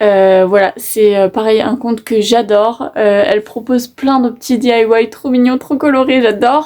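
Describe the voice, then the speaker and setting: A woman's fairly high voice with a dark, mellow tone, moderate pace, hardly any pauses, ordinary pitch variation and very even loudness. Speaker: YouTuber. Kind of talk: casual vlog talk to camera. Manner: hesitant, many fillers.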